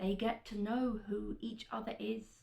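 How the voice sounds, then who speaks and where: A woman talks at a fairly slow pace with vocal fry. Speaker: veterinary student. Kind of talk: spoken word poetry performance.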